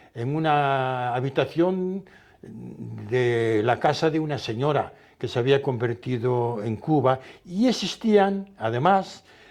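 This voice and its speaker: A man with a medium-pitched voice talks at a very slow pace against a quiet background. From Galicia, Spain. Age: 80s+. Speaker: retired pastor. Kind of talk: interview. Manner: halting, repeats words.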